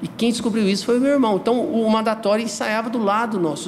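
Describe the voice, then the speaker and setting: A high-pitched male voice at a fairly quick pace over noticeable background noise. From Goiás, Brazil. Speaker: underground music figure and T-shirt brand owner. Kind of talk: casual chat.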